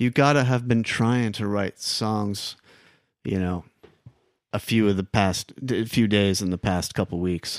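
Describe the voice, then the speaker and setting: A plain, everyday voice in an American accent, fairly slow and fairly even in intonation, recorded dry and close with no echo against a very clean, silent background. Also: man, fairly low pitch for a man. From New York City (Queens). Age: 50s. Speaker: songwriter and musician. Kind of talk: casual chat.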